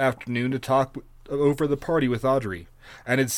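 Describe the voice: Fairly even intonation in a plain reading-aloud delivery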